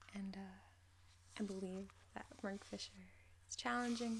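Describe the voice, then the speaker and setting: Soft-spoken, the voice proceeds at a fairly slow pace. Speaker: ASMR creator. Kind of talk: casual talk to camera.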